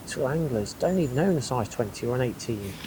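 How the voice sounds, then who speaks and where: A man talks at a fairly quick pace with lively intonation. Noticeable background noise runs behind him. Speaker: angling vlogger. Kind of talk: casual fishing vlog talk to camera. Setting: outdoors at a pond. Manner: whispering.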